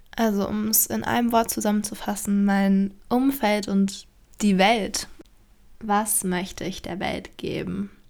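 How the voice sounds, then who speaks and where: A woman with a medium pitch talks very slowly, keeping her intonation fairly even. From Germany, Berlin (Charlottenburg). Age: 20s. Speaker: podcaster, aspiring actress. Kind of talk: solo podcast introduction, casual monologue. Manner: casual with frequent fillers and laughter.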